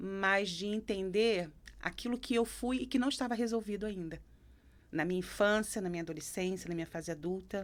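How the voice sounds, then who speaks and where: With a Rio de Janeiro accent, a woman speaks at medium pitch and a moderate pace with ordinary pitch variation on a very clean recording with a silent background. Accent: carioca. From Brazil, Rio de Janeiro. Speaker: psychoanalyst. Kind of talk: interview conversation.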